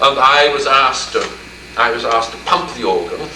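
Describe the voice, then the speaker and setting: Male speaker in a British accent, noticeable background noise behind him. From England. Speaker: art history professor. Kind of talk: interview answer.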